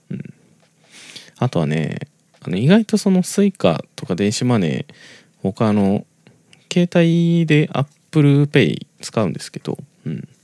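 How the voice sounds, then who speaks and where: In a relaxed tone, a man with a fairly high pitch talks at a very slow pace, his pitch swinging very widely and his loudness rising and falling sharply, with long, frequent pauses and a dry, close sound free of echo. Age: 20s. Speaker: podcast host. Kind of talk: casual monologue. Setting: home recording at night. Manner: rambling, relaxed.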